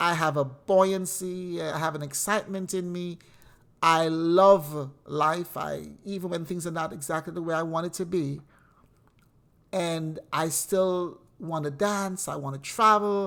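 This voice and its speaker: On a very clean recording with a silent background, a woman uses an ordinary speaking voice, fairly even intonation and a fairly slow pace. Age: 60s. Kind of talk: inspirational monologue.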